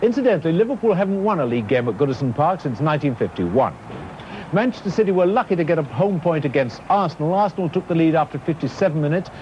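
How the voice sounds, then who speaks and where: Over light background noise, a man with a high pitch speaks at a very fast pace. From Britain. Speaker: football commentator. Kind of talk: 1960s TV football match commentary, archive broadcast. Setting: archive TV broadcast with crowd noise. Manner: animated, brisk, excited play-by-play; formal, polished broadcaster sign-off. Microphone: old recording.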